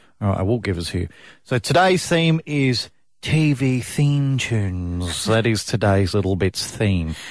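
On a very clean recording with a silent background, a man at medium pitch speaks fairly slowly with very wide pitch swings. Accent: Australian. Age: 30s. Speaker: radio host. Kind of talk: breakfast radio chat.

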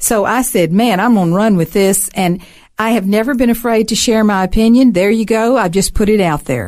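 A woman with a Southern US accent speaks fairly quickly at a fairly high pitch, with ordinary pitch variation and very even loudness. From US South, Alabama. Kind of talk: casual interview.

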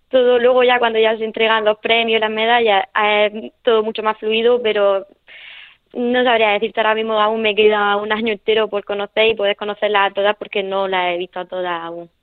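A woman talks in a Murcian accent at a fairly quick pace. Her fairly high voice stays flat and monotone. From Murcia, Spain. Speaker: para-taekwondo athlete. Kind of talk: radio interview.

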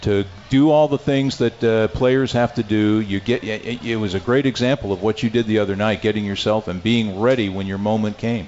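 Speaking at a fairly quick pace with hardly any pauses, a man uses a normal speaking voice with a fairly low pitch. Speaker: radio play-by-play announcer and show host. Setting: live restaurant broadcast. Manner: smooth, upbeat, brisk and rhythmic; broadcast-polished.

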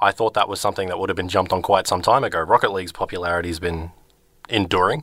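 With an Australian accent, a man with a very deep, low pitch and a bright, sharp tone speaks at a very fast pace with fairly even intonation, on a very clean recording with a silent background. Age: 20s. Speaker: returning radio co-presenter, video game fan. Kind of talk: casual chat on a radio show. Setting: radio studio. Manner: hesitant, many fillers and restarts.

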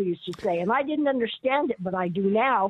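A woman with an American accent at a fairly quick pace, her intonation lively. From Colorado. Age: 60s. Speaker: caller. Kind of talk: call-in talk radio. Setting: phone call.

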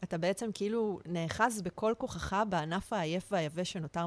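A woman with an unremarkable speaking voice talks at a fairly low pitch with ordinary variation. The sound is dry and close, with no echo. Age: 40s. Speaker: art director acting as guest interviewer. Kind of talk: casual interview chat; reading a prepared opener aloud.

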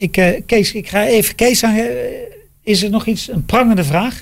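With a high pitch, a man speaks at a moderate pace. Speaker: podcast host, former racing driver. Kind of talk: casual chat. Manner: halting.

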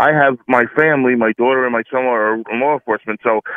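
A man uses a normal speaking voice, medium in pitch, its rises and falls ordinary. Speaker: caller. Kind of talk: call-in opinion. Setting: phone call.

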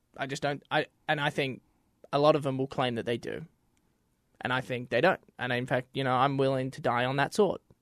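Here a man with an Australian accent talks at a medium pitch and a fairly quick pace, with fairly even intonation. He takes long, frequent pauses, and the sound is dry and close with no echo over a quiet background. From Australia, Melbourne. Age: 20s. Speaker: former American football player. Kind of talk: casual chat.

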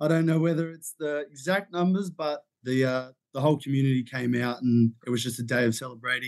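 At a fairly quick pace with hardly any pauses, a man with an Australian accent talks at a medium pitch with ordinary pitch variation. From Sydney, Australia. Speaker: intern, social media worker. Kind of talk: casual sports podcast chat.

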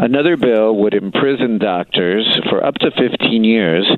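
A man speaks with ordinary pitch variation against noticeable background noise. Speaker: city council member. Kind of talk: interview. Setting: phone call.

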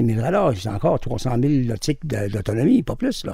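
Somewhat breathy with a dark, mellow tone, a man speaks at a moderate pace with a medium pitch. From Quebec. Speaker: former mercenary pilot and drug smuggler. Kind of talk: interview.

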